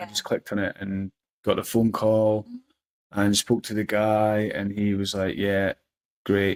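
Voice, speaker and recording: This man speaks with a Scottish accent and a fairly low pitch. His pace is fairly slow. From Scotland. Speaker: personal development coach. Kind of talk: casual interview answer.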